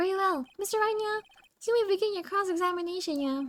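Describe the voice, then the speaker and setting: A woman puts on a character voice, extremely high and squeaky. She talks at a very fast pace. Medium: game stream. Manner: formal, measured.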